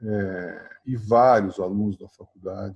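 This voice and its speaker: A man's fairly low, somewhat breathy voice with a dark, mellow tone. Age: 60s. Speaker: university professor and former basketball player and coach. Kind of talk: interview. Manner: halting, many fillers.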